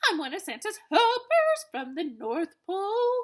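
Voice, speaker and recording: A woman puts on a squeaky character voice at an extremely high pitch. She speaks at a fairly slow pace with very wide pitch swings. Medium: read story.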